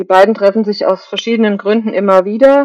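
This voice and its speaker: This woman's tone is dark and mellow. Her pitch sits in the middle range. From Germany, Kaiserslautern area (Palatinate). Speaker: novelist. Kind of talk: interview.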